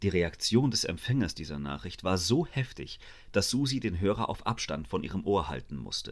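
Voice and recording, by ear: A natural voice reading aloud.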